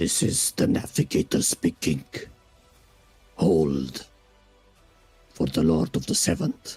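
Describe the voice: In a put-on character voice, the speaker moves at a fairly slow pace with long, frequent pauses as faint music plays in the background. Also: man, very deep, low pitch for a man.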